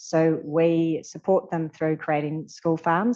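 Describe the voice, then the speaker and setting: A dark, mellow voice with a New Zealand accent and fairly even intonation. The background is quiet. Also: woman. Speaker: charity leader. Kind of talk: panel Q&A answers. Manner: hesitant fillers.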